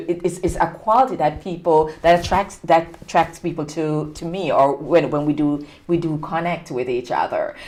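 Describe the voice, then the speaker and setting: A woman with a Jamaican accent, fairly low in pitch, at a moderate pace with hardly any pauses, over noticeable background noise. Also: ordinary pitch variation. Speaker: talk show host. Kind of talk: interview.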